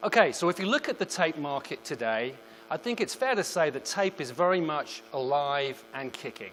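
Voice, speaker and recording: With a British accent, a man talks at a moderate pace and a fairly high pitch, his intonation lively. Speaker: product marketing manager. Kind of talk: presentation. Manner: formal.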